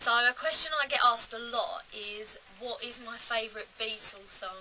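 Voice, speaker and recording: A woman with an English accent, fairly high pitch, ordinary pitch variation, a moderate pace and big swings in loudness, over noticeable background noise. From England. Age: 18. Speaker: musician and video creator. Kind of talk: casual Q&A vlog. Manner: casual, hesitant with fillers.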